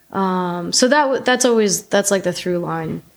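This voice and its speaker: Heard on a very clean recording with a silent background, a woman talks at a medium pitch with ordinary pitch variation. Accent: Northeastern US. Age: 30s. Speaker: artist. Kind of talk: casual chat.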